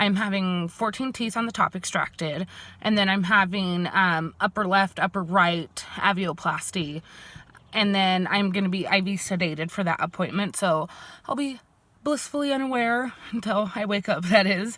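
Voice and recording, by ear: A woman speaks with a fairly bright tone. Her pitch moves in an ordinary way. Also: medium pitch for a woman, moderate pace.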